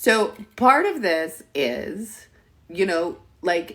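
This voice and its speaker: Her voice fairly low, a woman speaks in an animated tone with very wide pitch swings. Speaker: therapist. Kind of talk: live stream Q&A.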